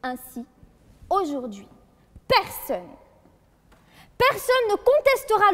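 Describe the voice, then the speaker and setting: A woman with an extremely high pitch. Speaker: law student competitor. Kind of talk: eloquence contest speech. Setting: courtroom hall with jury and audience. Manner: formal.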